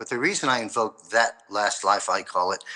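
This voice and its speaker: At a very fast pace, a man speaks with a bright, sharp tone. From New York, Queens and Long Island. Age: 60s. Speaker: former financial advisor, prophetic commentator. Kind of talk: interview.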